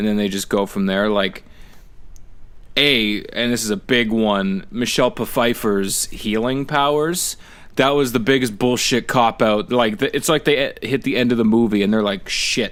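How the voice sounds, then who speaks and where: A man's medium-pitched voice with a southern Ontario accent. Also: ordinary pitch variation, moderate pace. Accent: regional Niagara accent (Canadian). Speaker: podcast co-host. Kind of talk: casual chat.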